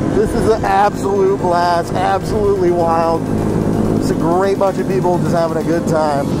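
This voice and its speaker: The pace is moderate while music sounds in the background. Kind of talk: casual vlog chat. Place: motorbike.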